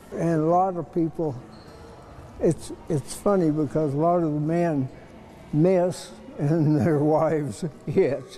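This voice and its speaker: Over noticeable background noise, a man with a fairly high voice and ordinary pitch variation speaks at a very slow pace with long, frequent pauses. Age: 80s+. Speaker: museum volunteer. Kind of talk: interview answer. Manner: sincere, warm storyteller.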